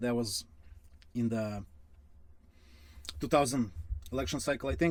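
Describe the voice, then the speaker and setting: This man has a Russian accent and medium pitch. He talks at a moderate pace with lively intonation. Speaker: finance youtuber. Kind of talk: casual commentary. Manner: halting, many fillers.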